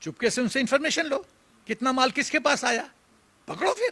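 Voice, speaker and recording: A man speaks in a raised, projected voice, his tone bright, sharp and animated. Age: 70s. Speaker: retired army general. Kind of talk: political commentary interview. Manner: animated, emphatic.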